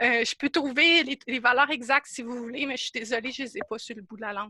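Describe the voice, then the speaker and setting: Recorded with a dry, close sound and no echo, a woman speaks very fast in a high, bright, sharp voice, with ordinary pitch variation and big swings in loudness. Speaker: workshop presenter, instrument maker. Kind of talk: online workshop presentation. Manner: animated, halting.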